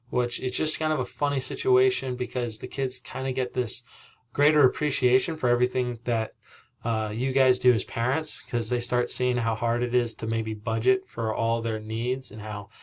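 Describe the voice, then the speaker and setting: The recording is very clean with a silent background. A man speaks somewhat breathily with fairly even intonation. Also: medium pitch for a man, moderate pace. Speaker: civics teacher. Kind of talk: recorded presentation to parents. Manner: halting, with frequent fillers.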